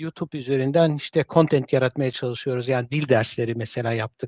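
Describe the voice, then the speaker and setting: In a dry, close sound with no echo and a quiet background, a man speaks with a fairly high pitch and ordinary pitch variation. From Germany. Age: 50s. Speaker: Zaza language teacher. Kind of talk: live stream interview. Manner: halting, many fillers.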